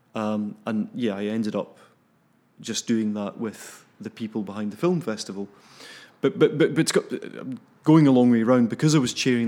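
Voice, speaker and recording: Ordinary pitch variation marks this man's speech in a Glaswegian accent. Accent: Glaswegian Scottish. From Scotland, south of Glasgow. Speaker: animator and film festival programmer. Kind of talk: casual interview.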